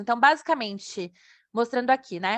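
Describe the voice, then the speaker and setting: Pitch moves with ordinary variation. Little sound intrudes from the quiet background. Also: woman. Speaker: evaluator presenting software. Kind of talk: online presentation with chat Q&A. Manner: fast.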